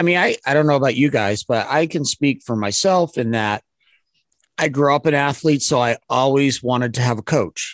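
Heard dry and close with no echo, a man with a fairly high pitch talks in an unremarkable speaking voice at a moderate pace, with ordinary pitch variation and very even loudness. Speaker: technician training company co-founder. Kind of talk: casual chat.

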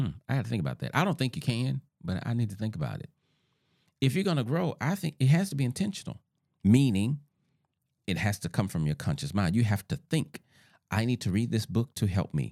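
A man with a Southern US accent speaks at a fairly quick pace and medium pitch, using very wide pitch swings, vocal fry and long, frequent pauses. His tone is dark and mellow, and the sound is dry and close with no echo. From US South. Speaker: podcast host, relationship author. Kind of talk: solo talk on relationships.

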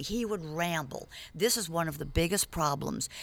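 With an American accent, a woman speaks at a fairly low pitch in a plain, everyday voice, recorded very cleanly against a silent background. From New York. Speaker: media coach. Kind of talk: casual chat. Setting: studio.

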